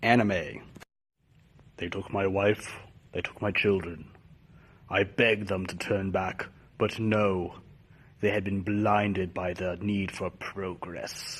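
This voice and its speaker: A man's put-on character voice, fairly low in pitch, monotone and flat, at a fairly slow pace with long, frequent pauses. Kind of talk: comedy character sketches. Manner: dramatic.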